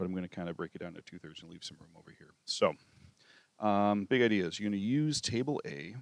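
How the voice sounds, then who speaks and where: A man with a southern Wisconsin accent, fairly low-pitched, at a fairly quick pace, with lively intonation and big swings in loudness. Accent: own southern Wisconsin. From southern Wisconsin, US Midwest. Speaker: math teacher. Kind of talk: tutorial. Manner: casual, with many fillers.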